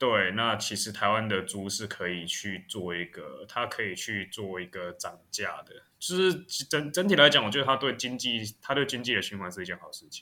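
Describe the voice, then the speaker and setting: This man's tone is bright and sharp, with lively intonation and big swings in loudness. He leaves hardly any pauses. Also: medium pitch for a man, moderate pace. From Taiwan. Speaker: podcast co-host. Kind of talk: casual chat.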